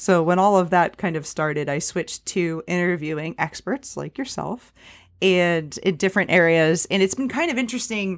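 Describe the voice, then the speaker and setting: In a plain, everyday voice, a woman with fairly low pitch and ordinary pitch variation speaks at a moderate pace on a very clean recording with a silent background. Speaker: personal finance podcaster and real estate investor. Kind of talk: casual interview chat.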